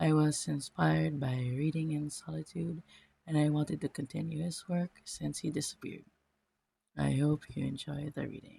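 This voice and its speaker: Moving at a moderate pace, this speaker talks with a non-native accent. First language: not English. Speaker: fanfiction reader. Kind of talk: reading aloud.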